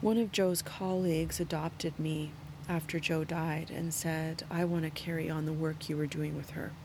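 A woman's very deep, low voice, somewhat breathy, with monotone, flat intonation. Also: moderate pace. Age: 50s. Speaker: yoga teacher and podcast host. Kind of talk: solo reflective monologue.

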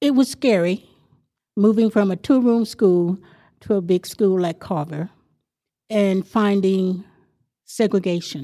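A woman's dark, mellow voice with a Texas accent, at a fairly slow pace with long, frequent pauses, on a very clean recording with a silent background. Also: medium pitch for a woman, ordinary pitch variation. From Texas Panhandle. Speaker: neighborhood association president. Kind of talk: interview.

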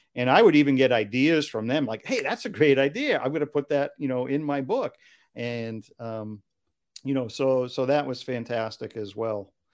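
A man with an unremarkable speaking voice, medium pitch and ordinary pitch variation, at a moderate pace, in a very clean recording with a silent background. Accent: American. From Massachusetts, US. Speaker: children's book author and songwriter. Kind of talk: interview.

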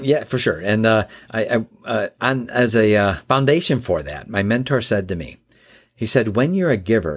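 With an American accent, a man talks at a moderate pace and medium pitch. His pitch swings very widely, with vocal fry. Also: very clean recording, silent background. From Chicago area, US Midwest. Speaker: business founder and author. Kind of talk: interview. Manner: halting, many fillers.

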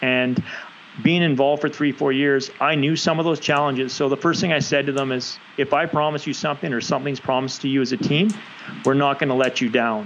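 A man with a Canadian accent at a fairly high pitch and a very fast pace, over noticeable background noise. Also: fairly even intonation. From Canada, West Coast (British Columbia). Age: 40s. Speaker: rugby coach, former national sevens player. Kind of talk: casual interview.

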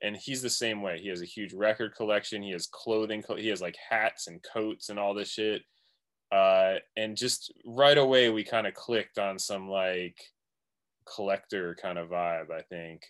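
Here is a man with an unremarkable speaking voice, fairly low in pitch with fairly even intonation. He keeps a moderate pace on a very clean recording with a silent background. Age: 40s. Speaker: music producer and DJ. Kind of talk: casual chat.

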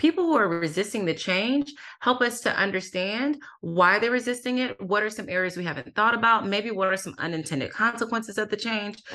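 A woman's fairly quick, fairly high-pitched speech with lively intonation and a bright, sharp tone over a quiet background. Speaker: author and workplace diversity expert. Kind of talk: interview. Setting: remote call. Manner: soothing.

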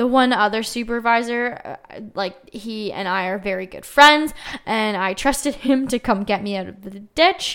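With a Canadian accent and an animated tone, a woman of fairly high pitch uses ordinary pitch variation in a very clean recording with a silent background. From Ontario, Canada. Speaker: podcast host. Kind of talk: casual solo chat.

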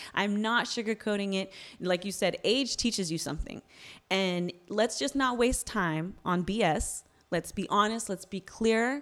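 In an American accent, a woman talks at a fairly slow pace with an ordinary speaking voice. Her pitch is medium with ordinary variation, and the recording is very clean with a silent background. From US West Coast (Bay Area). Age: 40s. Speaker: author. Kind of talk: casual chat.

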